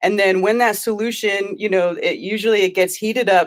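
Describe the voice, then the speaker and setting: Fairly quick, monotone, flat speech from a woman with an American accent. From California. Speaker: crystal enthusiast and flat earth streamer. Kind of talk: casual interview. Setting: video call. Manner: fast. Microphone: sounds good.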